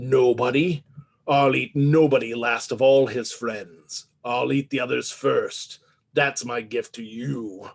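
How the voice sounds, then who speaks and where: In a put-on character voice, a man sounds raspy at a medium pitch while going at a fairly slow pace. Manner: menacing, gloating.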